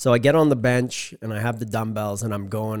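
Recorded very cleanly over a silent background, a man uses an ordinary speaking voice, fairly low in pitch with ordinary variation, at a moderate pace. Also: dry, close sound with no echo. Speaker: strength and conditioning coach. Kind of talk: casual chat. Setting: at home.

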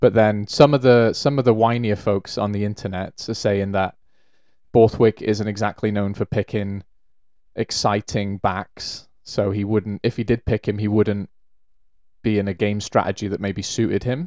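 A man speaks at a moderate pace with a fairly low pitch and fairly even intonation. The sound is dry and close with no echo, and the recording is very clean against a silent background. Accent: Welsh. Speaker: rugby podcast co-host. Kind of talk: casual chat.

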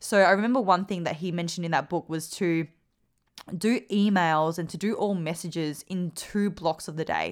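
A woman with an Australian accent speaks in a fairly low voice at a moderate pace. Her tone is animated, and the recording is very clean with a silent background. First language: Vietnamese. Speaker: podcast host and performance coach. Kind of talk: casual Q&A monologue.

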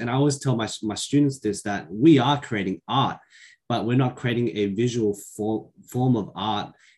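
A man with an Australian accent, medium pitch, ordinary pitch variation and moderate pace, on a very clean recording with a silent background. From Western Sydney, Australia. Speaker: primary school teacher. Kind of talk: casual chat.

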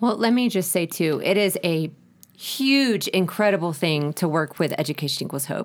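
With an American accent, a woman speaks in a normal speaking voice at a moderate pace, her fairly low pitch carrying lively intonation on a very clean recording with a silent background. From United States. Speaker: ministry director. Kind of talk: interview.

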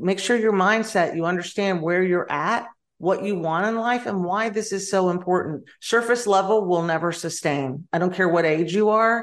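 At a moderate pace with hardly any pauses, a woman speaks at medium pitch with ordinary pitch variation. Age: 50s. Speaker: wellness and nutrition coach. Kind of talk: interview.

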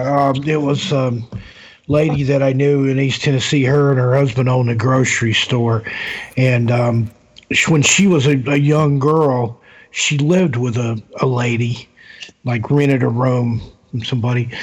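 A man's intonation stays fairly even as he talks in a normal speaking voice. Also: medium pitch for a man, moderate pace, very even loudness. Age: 50s. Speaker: author and paranormal investigator. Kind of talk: casual chat.

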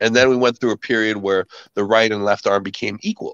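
He has a normal speaking voice at a medium pitch, with a Canadian accent. This man's pace is fairly quick and his intonation fairly even. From Canada. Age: 40s. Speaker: arm wrestling champion and army veteran. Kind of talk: casual interview.

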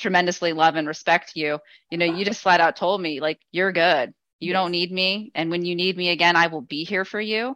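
With an American accent, the speaker talks at a moderate pace in a bright, sharp tone, with fairly even intonation on a very clean recording over a silent background. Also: woman. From Las Vegas, Nevada. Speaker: patient, entrepreneur, mother. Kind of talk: testimony.

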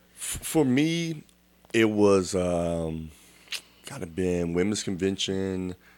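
In an American accent, a man speaks at a very slow pace with long, frequent pauses and a very deep, low pitch. His intonation is lively and his loudness swings widely. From Texas, Dallas. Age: 40s. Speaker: church elder. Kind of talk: testimony. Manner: animated.

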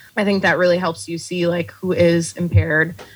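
A woman with an American accent in a normal speaking voice, at a fairly low pitch and a fairly quick pace, with ordinary pitch variation. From Texas, El Paso. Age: 30s. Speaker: comedy writer and bartender. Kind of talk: casual interview chat.

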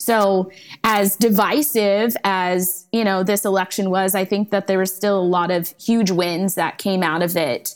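A woman's normal speaking voice at a medium pitch, fairly slow yet with hardly any pauses, with very even loudness and fairly even intonation. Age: 30s. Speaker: podcast host. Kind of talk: casual chat. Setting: video call.

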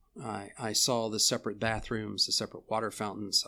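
A man speaks at a medium pitch and moderate pace in a bright, sharp tone. The recording is very clean, with a silent background. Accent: American. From Texas. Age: 70s. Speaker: professor. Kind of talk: casual chat. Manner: halting.

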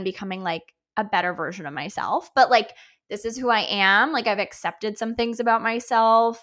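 A woman with a normal speaking voice, fairly high in pitch, at a fairly quick pace with ordinary pitch variation. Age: 30s. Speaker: podcast co-host, dietitian. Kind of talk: casual chat.

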